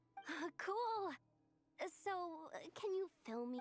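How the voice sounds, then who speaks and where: A woman speaks at a fairly slow pace in a put-on character voice, her pitch extremely high with very wide swings. The sound is dry and close, with no echo. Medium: video game. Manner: casual, brash.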